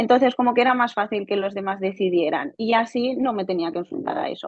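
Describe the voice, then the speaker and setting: Very fast and fairly high-pitched, a woman talks with ordinary pitch variation. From Spain, Barcelona. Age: 20s. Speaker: software quality engineer, coaching client. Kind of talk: testimony interview. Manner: halting, with repetitions.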